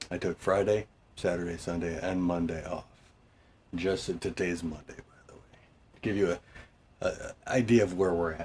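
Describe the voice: In a put-on character voice, a man speaks raspy and at a very deep, low pitch, keeping a moderate pace.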